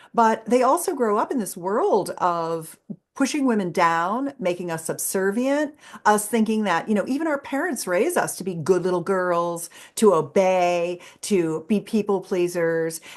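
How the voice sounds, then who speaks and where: A woman in an animated tone, medium pitch, lively intonation, at a fairly slow pace. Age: 60s. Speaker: sex educator. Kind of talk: interview.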